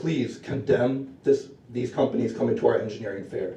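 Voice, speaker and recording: A shaky male voice at a fairly quick pace. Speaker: public commenter at student senate. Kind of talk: public comment speech. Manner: nervous, shaky.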